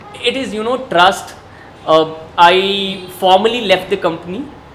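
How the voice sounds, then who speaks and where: A man talks while noticeable background noise carries through the recording. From India (Bihar). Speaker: coffee taster and consultant. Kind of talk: casual interview. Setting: coffee shop.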